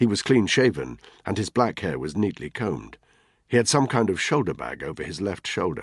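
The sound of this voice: An unforced voice reads the passage.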